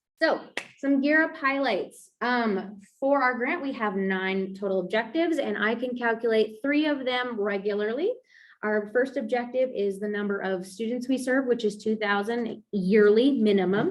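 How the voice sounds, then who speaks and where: Here a woman speaks at a fairly high pitch. Her pitch varies in an ordinary way. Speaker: program data coordinator. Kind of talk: presentation seminar. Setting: hybrid seminar, in person and online. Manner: fast.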